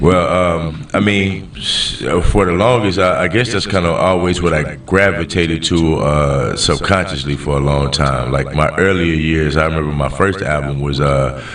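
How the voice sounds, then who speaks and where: A man with a strong Alabama accent speaks at a moderate pace with a very deep, low pitch, ordinary pitch variation and very even loudness, hardly pausing at all. Audible room echo and noticeable background noise surround his voice. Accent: thick Southern Alabama. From US South, Montgomery, Alabama. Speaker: hip-hop artist. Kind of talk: podcast interview. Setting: studio. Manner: relaxed, with many fillers.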